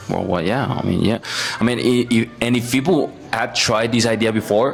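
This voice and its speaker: A man with a Spanish accent, his loudness very even, with music playing in the background. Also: medium pitch for a man, ordinary pitch variation, moderate pace. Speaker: student. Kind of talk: casual chat. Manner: halting.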